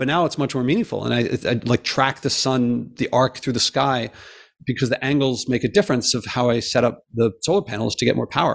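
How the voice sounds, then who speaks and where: At a fairly quick pace, a man speaks at medium pitch with vocal fry and ordinary pitch variation on a very clean recording with a silent background. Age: 50s. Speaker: professor and environmental podcaster. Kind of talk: interview.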